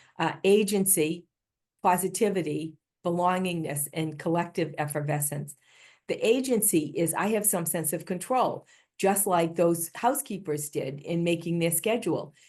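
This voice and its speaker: A woman with a Boston accent speaks at a moderate pace in a fairly low pitch, with ordinary pitch variation against a quiet background. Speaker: healthcare improvement leader, keynote speaker. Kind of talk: conference keynote talk.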